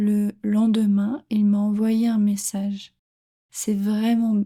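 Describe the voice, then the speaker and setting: The woman's voice is fairly high, dark and mellow, and somewhat breathy. She talks at a very slow pace with monotone, flat intonation. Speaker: French teacher. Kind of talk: reading aloud; tutorial. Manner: clear.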